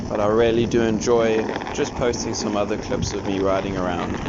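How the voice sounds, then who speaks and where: A man with a slight South African accent talks at a medium pitch and a moderate pace. Noticeable background noise and audible room echo fill the recording. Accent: slight South African twang. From South Africa, Durban. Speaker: YouTuber, electric skateboard reviewer. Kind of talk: vlog commentary while riding. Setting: outdoors, riding an electric skateboard. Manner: casual, animated.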